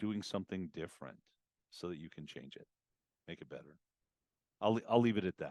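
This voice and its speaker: Lively intonation and vocal fry run through this fairly quick delivery. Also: man, dry, close sound with no echo. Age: 60s. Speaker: auto repair business coach and CEO. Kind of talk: podcast interview. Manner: direct.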